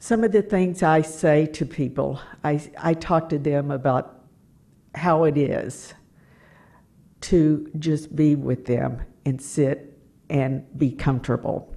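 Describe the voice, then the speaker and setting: In an American accent and a dark, mellow tone, the speaker goes at a very slow pace with long, frequent pauses, very even loudness, and ordinary pitch variation. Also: woman, very deep, low pitch for a woman. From US South, Tennessee. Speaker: hospice volunteer and near-death experiencer. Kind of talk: talk to audience.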